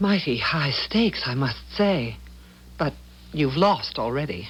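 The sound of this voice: A slow, put-on character voice with big pitch swings. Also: woman, low pitch for a woman.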